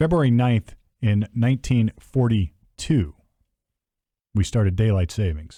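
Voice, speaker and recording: A man speaks with lively intonation and a dark, mellow tone, leaving long, frequent pauses. The sound is dry and close, with no echo. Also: medium pitch for a man. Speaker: podcast host. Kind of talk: casual chat. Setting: studio table. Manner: fast.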